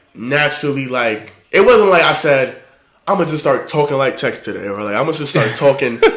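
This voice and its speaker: A man's lively intonation amid audible room echo. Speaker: podcast host. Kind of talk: casual chat. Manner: well-spoken.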